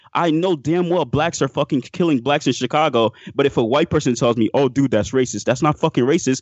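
A man's unremarkable speaking voice, fairly high in pitch, at a fairly quick pace with hardly any pauses, ordinary pitch variation and very even loudness. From Miami, Florida (born in Haiti). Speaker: caller. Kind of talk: casual chat.

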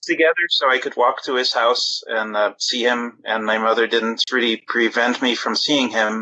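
Speaking with a normal speaking voice, a man at medium pitch keeps a moderate pace and fairly even intonation. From outside US, immigrant. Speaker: caller. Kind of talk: casual chat. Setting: phone call.

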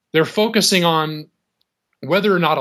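An unremarkable speaking voice comes from a man with a fairly high pitch. He moves at a moderate pace with ordinary pitch variation. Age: 30s. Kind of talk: call-in conversation.

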